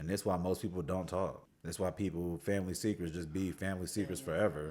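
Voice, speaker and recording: The tone is animated. Words come at a very fast pace. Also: man, very deep, low pitch for a man. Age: 30s. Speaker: content creator. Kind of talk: emotional vlog rant.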